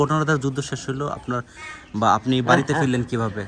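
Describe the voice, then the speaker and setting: A man talks with fairly even intonation while noticeable background noise carries on around him. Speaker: interviewer. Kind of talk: interview questions.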